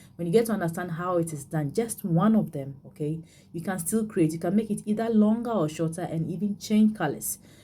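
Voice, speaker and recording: Speaking at a fairly quick pace with hardly any pauses, a woman has a somewhat breathy, dark, mellow tone, a fairly low pitch and ordinary pitch variation. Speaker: beading tutorial creator; bead craft instructor. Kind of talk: tutorial. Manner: halting, many fillers and repeats. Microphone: phone near.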